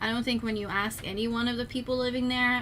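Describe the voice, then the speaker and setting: A woman's fairly high-pitched voice amid audible room echo. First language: not English. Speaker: streamer. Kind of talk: casual chat.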